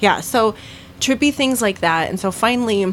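A woman's pitch varies in an ordinary way as she talks at a moderate speed. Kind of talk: ghost story telling, casual chat. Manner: animated, conversational storyteller.

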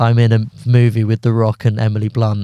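A man's dark, mellow, medium-pitched voice in a southern English accent, at a moderate pace, with a dry, close sound and no echo. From southern England (London and Surrey). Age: 20s. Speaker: stand-up comedian. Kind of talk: casual chat. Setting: studio.

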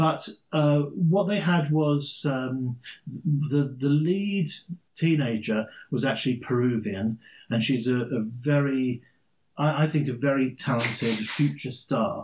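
A man with an English accent, fairly high and somewhat breathy, speaking at a very slow pace with very even loudness and ordinary pitch variation. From England, London. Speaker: podcast co-host. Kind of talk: casual chat.

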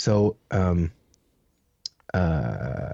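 Very deep and low, a man's voice carries vocal fry and a Canadian accent. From Canada, Ontario. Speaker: missionary. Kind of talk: casual interview, personal testimony. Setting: video call.

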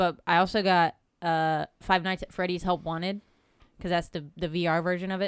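A woman's fairly low, monotone voice with flat intonation at a moderate pace. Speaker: podcast co-host. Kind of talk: casual chat.

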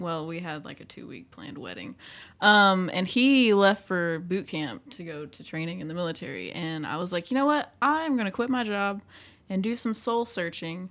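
In a very clean recording with a silent background, a woman speaks with an ordinary speaking voice at medium pitch. She keeps a moderate pace, with lively intonation and big swings in loudness. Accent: American. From small town, US. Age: 20s. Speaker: podcast guest sharing coming-out story. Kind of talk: personal testimony in casual chat.

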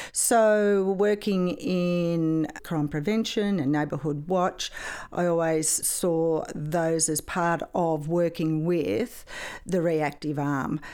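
A woman's dark, mellow voice in an Australian accent, fairly low in pitch with ordinary pitch variation, very slow, on a very clean recording with a silent background. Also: very even loudness. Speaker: retired police sergeant. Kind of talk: interview.

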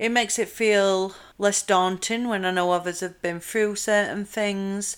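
A woman speaks in a Yorkshire accent. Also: very clean recording, silent background. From South Yorkshire, England. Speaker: podcast host. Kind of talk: casual monologue.

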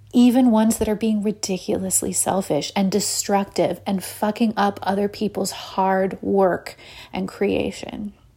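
A woman speaks at a fairly slow pace and medium pitch. Her voice is somewhat breathy, with fairly even intonation. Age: 30s. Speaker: podcast host and illustrator. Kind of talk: solo podcast monologue. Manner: soft-spoken.

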